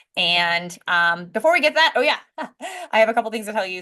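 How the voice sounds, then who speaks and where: This is a woman's voice. She talks at a fairly quick pace. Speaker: physician and business coach. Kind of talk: webinar talk. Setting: live online webinar. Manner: fast.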